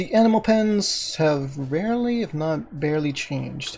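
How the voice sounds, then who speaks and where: The tone is calm. The speaker is soft-spoken. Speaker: Minecraft gaming YouTuber. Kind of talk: gameplay commentary.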